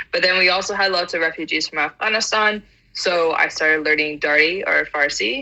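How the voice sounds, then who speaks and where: A woman's speech moves fairly quickly, her pitch varying in an ordinary way, with noticeable noise in the background. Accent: American. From US South (Atlanta, Georgia). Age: 20s. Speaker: polyglot. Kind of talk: casual chat.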